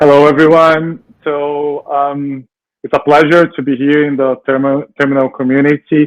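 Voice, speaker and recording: In a Brazilian accent, a man speaks with fairly high pitch. His intonation is monotone and flat, and the sound is dry and close with no echo. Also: moderate pace. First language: Portuguese. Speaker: tech product lead. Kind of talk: panel interview. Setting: live stream.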